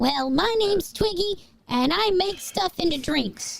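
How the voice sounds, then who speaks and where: A squeaky, put-on character voice at an extremely high pitch, delivered at a moderate pace. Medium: actual play.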